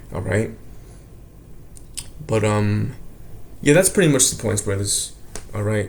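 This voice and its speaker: Speaking at a fairly slow pace with long, frequent pauses, a man is heard amid audible room echo. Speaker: religious teacher. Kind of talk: religious lesson. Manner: casual.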